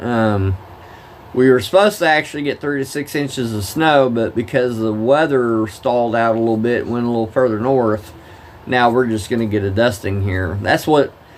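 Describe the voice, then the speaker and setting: A man at a medium pitch is heard over noticeable background noise. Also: ordinary pitch variation. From Oklahoma. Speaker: live-streamer, former truck driver. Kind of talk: casual live-stream chat with game commentary. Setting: live stream at home.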